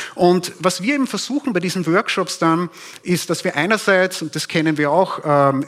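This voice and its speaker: The speaker is a man with a high pitch. He goes at a moderate pace. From Upper Austria (Steyr). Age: 40s. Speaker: propaganda researcher. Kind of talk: conference talk. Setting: stage with audience.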